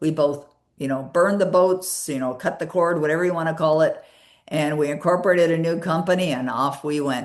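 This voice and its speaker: Her pace fairly quick, a woman with an ordinary speaking voice talks at a fairly low pitch with fairly even intonation. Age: 60s. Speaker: author and personal development coach. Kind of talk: interview.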